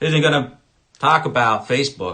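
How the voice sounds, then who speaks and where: The voice is loud, with a bright, sharp tone. It moves at a fairly quick pace. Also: man. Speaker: political commentator. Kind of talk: political rant. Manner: animated.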